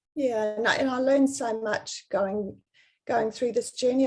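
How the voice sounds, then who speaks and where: Here a woman talks in a New Zealand accent at a moderate pace. Her fairly high voice shows ordinary pitch variation. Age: 60s. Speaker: personal stylist. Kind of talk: interview.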